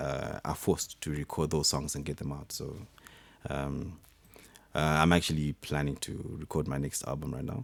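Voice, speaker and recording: A man with a very deep, low pitch and vocal fry speaks at a moderate pace in a monotone, flat intonation. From Zimbabwe, Harare. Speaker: musician and systems engineer. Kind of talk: radio interview. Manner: halting, many fillers.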